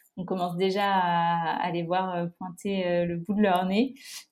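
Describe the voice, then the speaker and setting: Here a woman talks at a medium pitch. Her intonation stays fairly even. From France, La Rochelle. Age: 20s. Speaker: environmental association co-founder. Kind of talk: casual interview. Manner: hesitant, frequent repetitions.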